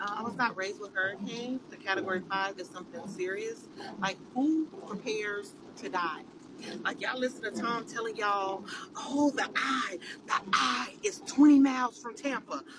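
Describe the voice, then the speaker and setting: Over noticeable background noise, a woman speaks at a moderate pace in a fairly high, animated voice with lively intonation. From California. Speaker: social media poster. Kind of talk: casual rant to camera.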